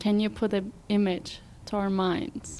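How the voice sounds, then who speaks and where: A woman with a Turkish accent and medium pitch, at a fairly slow pace. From Turkey, Istanbul. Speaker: student podcast host. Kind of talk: casual interview chat.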